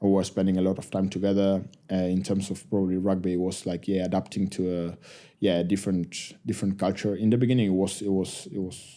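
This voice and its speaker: A man with an Argentine accent speaks at a very fast pace in a very deep, low pitch, his dark, mellow tone held in monotone, flat intonation, in a very clean recording with a silent background. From Argentina. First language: Spanish. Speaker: professional rugby player. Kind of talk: podcast interview.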